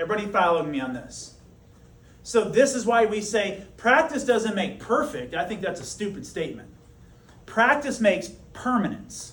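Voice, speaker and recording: A man with a high voice and lively intonation at a moderate pace, with long, frequent pauses, audible room echo and noticeable background noise. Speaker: high school teacher. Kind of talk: classroom lecture. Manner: animated.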